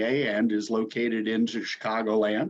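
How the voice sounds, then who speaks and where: A man talks in a normal speaking voice at medium pitch. His pace is fairly slow, with ordinary pitch variation. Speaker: lender relations specialist at a government agency. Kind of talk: webinar presentation.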